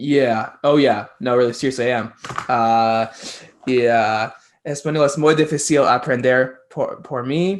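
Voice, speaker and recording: A man speaks in an unremarkable speaking voice at a medium pitch, with ordinary pitch variation. His pace is fairly slow against a quiet background. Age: 20s. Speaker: podcast host. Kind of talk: casual interview chat.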